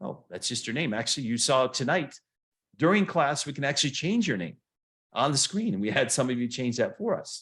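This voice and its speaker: This man's voice sits fairly high and swings very widely in pitch. He talks at a fairly quick pace. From US Midwest, Flint Michigan. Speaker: motivational coach. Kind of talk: online seminar lecture. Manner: fast; animated.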